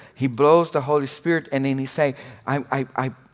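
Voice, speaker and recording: A man speaks with a non-native accent in monotone, flat intonation. His pitch is fairly high and his pace fairly quick. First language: not English. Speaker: preacher, former missionary. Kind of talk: sermon. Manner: halting, repeats words.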